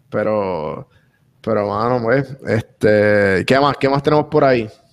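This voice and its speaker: Very slow speech from a man with a Puerto Rican accent, fairly low pitch, big swings in loudness and long, frequent pauses. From Puerto Rico, San Juan area. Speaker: podcaster and podcast coach. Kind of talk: casual interview chat.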